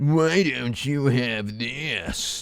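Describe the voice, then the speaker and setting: Using a put-on character voice, a man speaks at a medium pitch with lively intonation. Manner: pushy, demanding.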